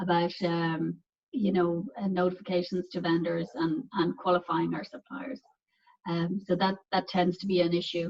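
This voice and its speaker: Somewhat breathy, a woman's voice sits at a medium pitch. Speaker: pharmaceutical quality assurance director. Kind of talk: technical presentation. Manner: fast; halting, many fillers and repeats.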